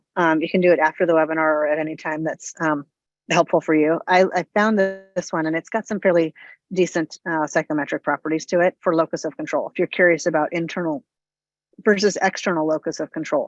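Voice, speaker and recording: A woman's fairly low voice at a fairly quick pace, fairly even in intonation, dry and close with no echo, over music in the background. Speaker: psychologist presenter. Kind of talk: webinar lecture. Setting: online webinar. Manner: fast.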